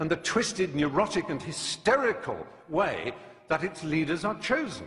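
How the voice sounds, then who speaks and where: Noticeable background noise sits behind a man speaking at a moderate pace, his fairly high voice carrying a passionate tone. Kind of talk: debate speech. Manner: passionate, articulate, emphatic.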